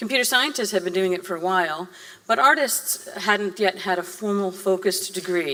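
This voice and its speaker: Against noticeable background noise, a woman with a Boston accent speaks at a medium pitch with ordinary pitch variation. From Massachusetts, Boston area. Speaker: guest lecturer, theme park designer. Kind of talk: lecture. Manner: fast.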